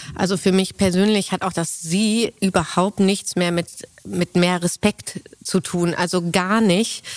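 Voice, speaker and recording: In a dry, close recording with no echo, a woman speaks at a medium pitch with monotone, flat intonation. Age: 30s. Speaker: managing director of family business. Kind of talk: interview conversation. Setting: on location at company.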